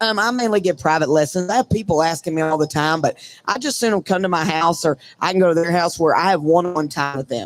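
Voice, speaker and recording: The voice is loud, talks at a very fast pace, and has ordinary pitch variation. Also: man, high pitch for a man. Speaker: breakaway roper. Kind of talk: casual interview. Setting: live from a trade show booth.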